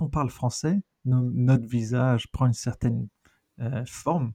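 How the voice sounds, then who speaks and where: In a dry, close recording with no echo, a man speaks at medium pitch in a dark, mellow, somewhat breathy tone with ordinary pitch variation. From raised in many countries (diplomat family), born in Argentina. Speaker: researcher and NGO director. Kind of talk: casual interview chat.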